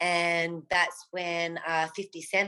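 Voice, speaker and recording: A woman speaks at a medium pitch with a bright, sharp tone. The background is quiet. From Australia, Melbourne. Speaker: pop singer. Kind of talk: interview.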